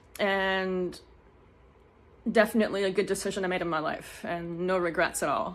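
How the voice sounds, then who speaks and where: A mumbling woman's voice at a medium pitch. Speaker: online course student and Etsy seller. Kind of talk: testimonial. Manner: fast.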